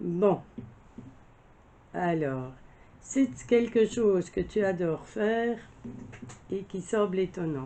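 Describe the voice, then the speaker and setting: At a very slow pace, a woman with a medium pitch speaks in lively intonation, leaving long, frequent pauses. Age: 60s. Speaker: crafts vlogger. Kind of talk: casual monologue answering tag questions. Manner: halting, many fillers.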